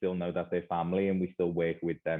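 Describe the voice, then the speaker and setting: A man speaks with a Liverpool accent. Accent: Liverpool (Scouse). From northern England, Liverpool. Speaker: educator, school leader. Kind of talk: conference presentation.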